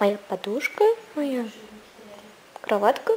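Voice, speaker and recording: At a fairly slow pace, a woman speaks with ordinary pitch variation over light background noise. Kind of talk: casual vlog chat. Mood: wry, complaining. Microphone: phone near.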